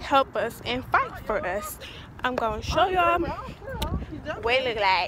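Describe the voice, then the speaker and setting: The sound is dry with no echo, and noticeable background noise runs underneath. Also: woman. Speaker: vlogger. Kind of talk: casual vlog chat. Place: street. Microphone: phone near.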